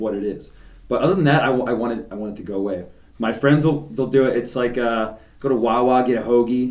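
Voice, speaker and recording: Someone with an American accent speaks very fast with ordinary pitch variation, and the room echo is audible. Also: man, medium pitch for a man. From Philadelphia, Roxborough. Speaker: podcast host. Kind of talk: casual chat.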